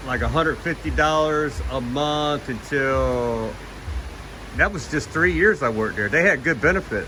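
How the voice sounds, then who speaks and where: This man talks at a moderate pace with an American accent. Noticeable background noise runs under his voice. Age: 60s. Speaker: retired vlogger. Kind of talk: casual vlog narration.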